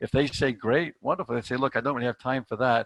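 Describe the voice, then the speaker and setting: The sound is dry and close with no echo. A man speaks at medium pitch. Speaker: sales trainer. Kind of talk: online training presentation. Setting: video call. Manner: fast; animated.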